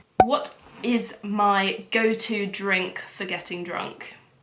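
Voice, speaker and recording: A woman speaks at a medium pitch with fairly even intonation. Room echo is audible around her voice. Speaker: lifestyle vlogger. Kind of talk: casual Q&A vlog.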